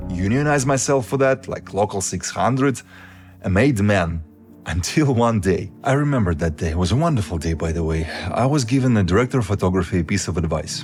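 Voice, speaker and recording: A man with a Russian accent talks at a fairly quick pace. His fairly low pitch swings very widely. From Siberia, Russia. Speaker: YouTuber and film colorist. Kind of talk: personal storytelling.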